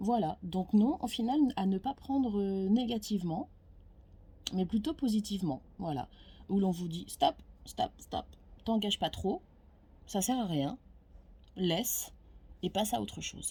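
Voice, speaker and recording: Pausing long and often, a woman with a somewhat breathy, dark, mellow tone speaks at medium pitch and a fairly slow pace with lively intonation. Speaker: tarot card reader. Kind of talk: casual monologue to camera. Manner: hesitant, many fillers.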